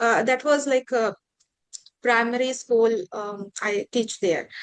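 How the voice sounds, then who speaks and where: At a fairly quick pace, a woman speaks with fairly even intonation. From India, Assam. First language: Bengali. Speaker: podcast host, English teacher. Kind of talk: casual interview chat. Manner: halting, many fillers.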